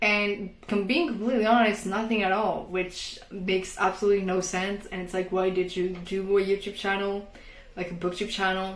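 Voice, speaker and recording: A woman with a non-native accent at medium pitch, moderate pace and monotone, flat intonation, amid noticeable background noise and audible room echo. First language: not English. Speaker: book vlogger. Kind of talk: casual vlog talk. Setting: bedroom at home.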